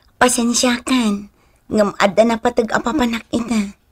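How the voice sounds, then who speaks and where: A woman's fairly high voice at a moderate pace with fairly even intonation. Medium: audio drama. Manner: apologetic, soft.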